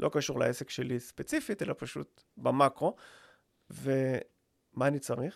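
At a fairly slow pace, a man speaks on a very clean recording with a silent background, the sound dry and close with no echo. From Israel, Rishon LeZion. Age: 40s. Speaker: podcast co-host, business owner. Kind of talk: casual chat.

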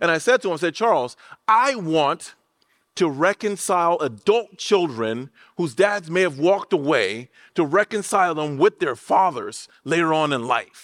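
In a very clean recording with a silent background and a dry, close sound free of echo, a voice with an American accent moves at a moderate pace with lively intonation. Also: man, high pitch for a man. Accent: Liberian accent, changed by living in the US. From Liberia, West Africa. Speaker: pastor. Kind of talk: sermon. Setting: church.

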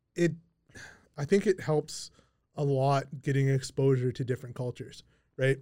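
This man speaks in a fairly high, somewhat breathy voice with a dark, mellow tone and a Canadian accent. His pitch varies in an ordinary way, and he leaves long, frequent pauses. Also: moderate pace. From Kamloops, Canada. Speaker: podcast host and realtor. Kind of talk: casual chat interview. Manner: casual, joking.

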